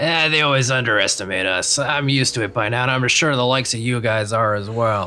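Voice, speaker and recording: Putting on a gruff character voice, a man talks at a fairly quick pace and a medium pitch. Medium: actual play.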